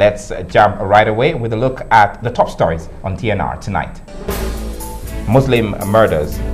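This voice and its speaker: With clear music in the background, a man speaks at a fairly low pitch, with ordinary pitch variation and long, frequent pauses. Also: moderate pace. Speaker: news anchor. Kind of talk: TV news read. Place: studio. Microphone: lapel.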